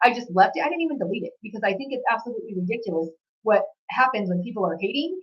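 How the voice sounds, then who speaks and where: Loud and very fast, a woman speaks with very wide pitch swings. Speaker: psychic reader. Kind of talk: channeled reading monologue.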